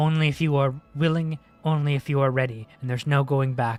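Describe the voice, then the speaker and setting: A man does a put-on character voice, fairly high in pitch. He talks at a fairly quick pace while faint music plays in the background. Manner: solemn, commanding.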